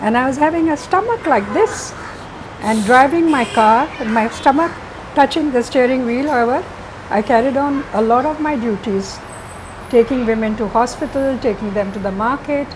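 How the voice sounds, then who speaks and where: A woman with a high pitch and ordinary pitch variation talks while noticeable background noise is heard. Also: moderate pace. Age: 80s+. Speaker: painter, interior designer, school founder. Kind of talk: interview answer.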